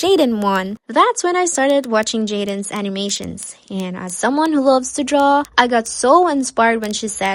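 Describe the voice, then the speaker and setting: A woman with a Cebuano accent, fairly high-pitched and lively in intonation, at a moderate pace with hardly any pauses. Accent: Filipino (Cebuano). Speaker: YouTube animator. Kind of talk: casual storytime vlog.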